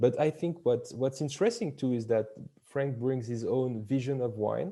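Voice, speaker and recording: Lively in intonation, a man talks at a medium pitch with a dark, mellow tone. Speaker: wine company employee. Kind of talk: interview. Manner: loud; halting.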